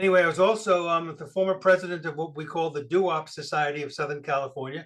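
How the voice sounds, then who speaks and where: Speaking very fast in an American accent, a man with a fairly high pitch keeps his intonation fairly even while his loudness swings widely. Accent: New York accent, noticed by people in Arizona. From New York City. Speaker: guest speaker at a computer club. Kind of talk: presentation. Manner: casual, with frequent fillers.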